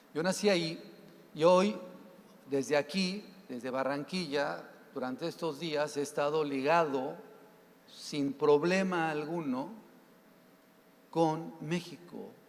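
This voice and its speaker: Pitched fairly high, a man speaks very slowly with ordinary pitch variation and long, frequent pauses. Room echo can be heard. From Mexico. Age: 60s. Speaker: accountant, professional association president. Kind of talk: conference talk. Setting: stage with audience. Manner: conversational, some stammering.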